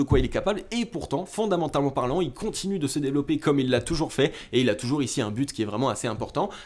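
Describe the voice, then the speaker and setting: A man talks at a very fast pace in a fairly high pitch, his tone animated and his intonation lively. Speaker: crypto market analyst YouTuber. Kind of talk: chart analysis commentary.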